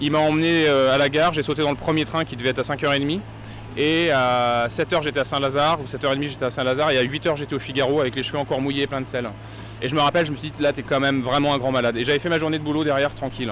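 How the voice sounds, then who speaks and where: At a very fast pace, a man speaks with fairly even intonation in a fairly high pitch. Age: 40s. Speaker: professional sailor, former journalist. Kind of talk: interview. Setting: race start village.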